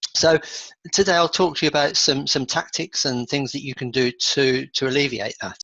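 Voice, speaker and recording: A man's fairly high, bright and sharp voice with an English accent and fairly even intonation, dry and close with no echo. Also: moderate pace. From England. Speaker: achievement coach. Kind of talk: webinar presentation.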